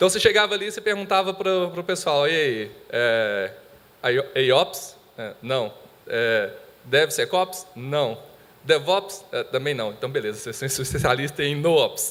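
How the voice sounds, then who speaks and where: Spoken with a Minas Gerais accent at a fairly slow pace. The pitch swings very widely. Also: man, fairly high pitch for a man. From Brazil, Minas Gerais. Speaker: IT monitoring specialist. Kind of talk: conference presentation.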